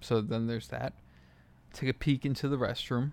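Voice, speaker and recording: At a fairly quick pace, a man speaks with a medium pitch. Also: very clean recording, silent background. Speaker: solo podcaster. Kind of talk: casual monologue. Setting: hotel room. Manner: speaking quietly.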